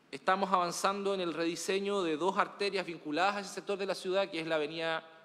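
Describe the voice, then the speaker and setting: The pace is very fast. It is a man speaking. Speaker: municipal official reporting to council. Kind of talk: formal meeting report. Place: meeting room.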